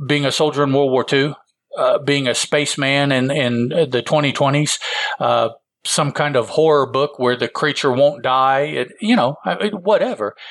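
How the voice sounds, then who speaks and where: A plain, everyday voice, this man has an American accent, a fairly high pitch, very even loudness, ordinary pitch variation and a fairly slow pace. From Illinois, US Midwest. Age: 50s. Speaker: podcast co-host. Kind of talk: casual chat.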